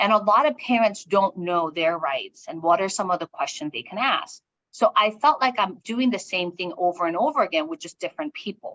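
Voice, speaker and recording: Fairly quick, nearly pause-free speech from a woman with a Korean accent at medium pitch, with very wide pitch swings, big swings in loudness and a dry, close sound with no echo. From South Korea, moved to US at nine. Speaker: education executive and author. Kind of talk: interview, personal story.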